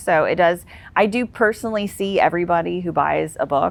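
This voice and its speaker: Lively intonation and vocal fry mark this woman's voice at medium pitch. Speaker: author and national security career executive. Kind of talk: podcast interview. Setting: outdoors in the shade. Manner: fast.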